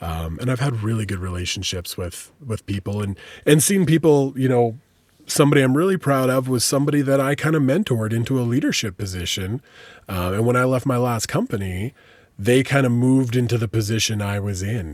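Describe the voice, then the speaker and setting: On a very clean recording with a silent background, a man with an ordinary speaking voice and a medium pitch talks at a fairly quick pace with lively intonation. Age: 30s. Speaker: podcast host and radio DJ. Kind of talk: casual interview chat.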